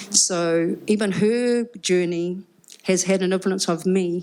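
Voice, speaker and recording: This is a woman speaking with a New Zealand accent. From New Zealand, Upper Hutt. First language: Cook Islands Māori. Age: 50s. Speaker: musician and rapper. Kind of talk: live panel conversation. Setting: live event with audience.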